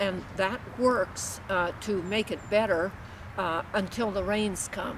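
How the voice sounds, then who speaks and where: A woman speaks at a medium pitch and a very slow pace. Background noise is noticeable. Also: fairly even intonation. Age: 80s+. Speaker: farmer. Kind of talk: interview answer. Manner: hesitant, many filler sounds.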